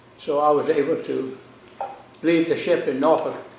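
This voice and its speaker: Noticeable background noise and audible room echo fill the recording. Over them, a man talks in an American accent. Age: 90s. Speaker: lawyer and navy veteran. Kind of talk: oral history interview.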